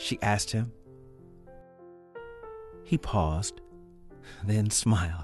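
With music playing in the background, a man speaks at a fairly slow pace and a fairly low pitch. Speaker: actor. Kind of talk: read story narration.

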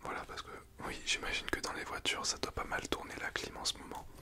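A soft-spoken man over loud background noise. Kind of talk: role-play consultation, soft ASMR-like talk. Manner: soft, hushed ASMR speaking voice. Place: home room. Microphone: phone near.

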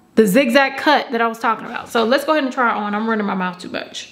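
Over noticeable background noise, a woman with a fairly high pitch speaks at a very fast pace. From Georgia, US South. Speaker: beauty YouTuber. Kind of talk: product review haul. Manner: animated.

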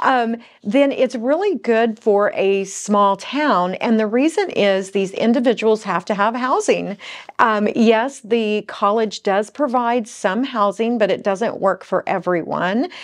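Against a quiet background, a woman speaks at a fairly slow pace with very even loudness. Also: ordinary pitch variation. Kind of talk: casual vlog chat. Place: studio.

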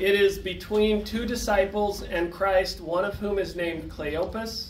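In a room with audible echo and light background noise, a man speaks at a fairly slow pace in a high pitch with ordinary pitch variation. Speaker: presenter. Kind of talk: lecture. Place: meeting room.

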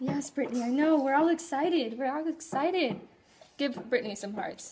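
Noticeable background noise sits behind a woman with a high pitch. She speaks at a moderate pace with ordinary pitch variation. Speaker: business coach. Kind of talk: casual live stream chat. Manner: relaxed, casual.

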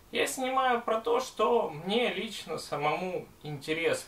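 A man talks at a very slow pace, and the room echo is audible. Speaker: gas mask and respirator collector. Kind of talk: casual talk to camera.

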